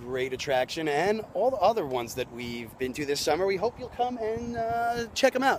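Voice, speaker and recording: The man talks at a moderate pace. His pitch is high. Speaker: travel vlogger. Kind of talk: casual on-location tour narration. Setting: outdoors at a fort by the water. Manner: animated; loud, yelling over wind.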